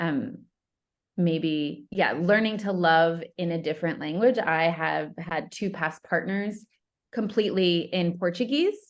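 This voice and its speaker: An unremarkable speaking voice with an American accent talks at a fairly slow pace with ordinary pitch variation over a quiet background. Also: woman, fairly low pitch for a woman. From upstate New York. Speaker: love coach. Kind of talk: casual chat.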